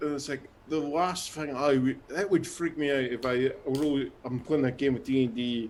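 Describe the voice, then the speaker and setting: A man's pitch varies in an ordinary way while noticeable background noise plays behind him. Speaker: tabletop RPG player. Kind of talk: casual chat.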